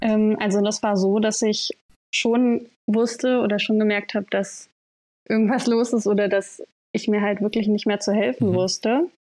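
The tone is dark and mellow, with very even loudness over a quiet background. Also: woman, fairly high pitch for a woman, fairly even intonation, moderate pace. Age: 20s. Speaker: person with OCD sharing her story. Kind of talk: interview testimony. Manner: hesitant, many fillers.

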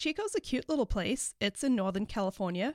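In a very clean recording with a silent background and a dry, close sound with no echo, a woman talks with a slight South African accent. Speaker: veterinarian and life coach, podcast host. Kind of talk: casual solo podcast monologue. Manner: informal, uses profanity.

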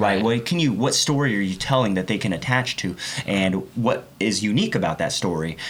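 A man with an American accent talks at a fairly quick pace in a fairly low voice, with lively intonation and very even loudness. Noticeable background noise can be heard. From Oklahoma, Oklahoma City area. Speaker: car builder and TV personality. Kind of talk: casual interview chat.

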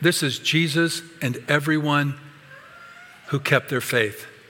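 Noticeable background noise accompanies a man speaking at a moderate pace. His voice is fairly high-pitched with ordinary pitch variation. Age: 60s. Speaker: pastor. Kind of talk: sermon.

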